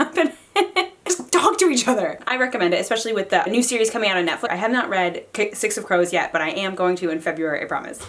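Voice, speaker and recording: A woman speaks over noticeable background noise. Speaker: book reviewer. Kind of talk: casual chat. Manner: fast when excited; animated.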